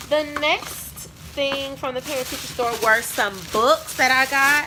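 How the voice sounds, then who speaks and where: With a raised, projected voice and a high pitch, a woman speaks at a fairly slow pace with fairly even intonation over noticeable background noise. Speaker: teacher and video creator. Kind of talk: casual haul video.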